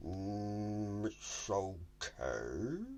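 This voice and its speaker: This man puts on a character voice with a fairly low pitch. Clear background noise runs underneath. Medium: read story. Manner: slow, mooing "mm".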